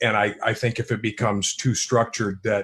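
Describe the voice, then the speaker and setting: A man talks at a very fast pace in a somewhat breathy, monotone voice with flat intonation, on a very clean recording with a silent background. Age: 60s. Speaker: author. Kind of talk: panel discussion. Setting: live streamed show.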